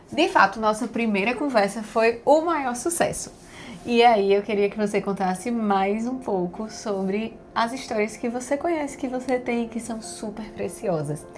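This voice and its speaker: An enthusiastic woman at a fairly slow pace, fairly high in pitch, with lively intonation. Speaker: podcast host interviewing her grandfather. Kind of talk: casual interview questions.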